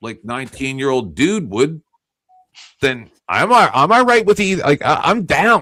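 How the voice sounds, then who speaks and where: A man's animated, bright and sharp voice with vocal fry, at a fairly slow pace. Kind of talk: heated debate.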